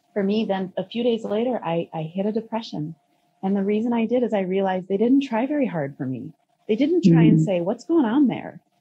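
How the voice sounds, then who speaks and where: Somewhat breathy, this voice makes very wide pitch swings and moves at a fairly quick pace. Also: woman. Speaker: podcast guest. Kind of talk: interview answer. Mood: reflective, occasional laughs. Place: home room. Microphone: video call.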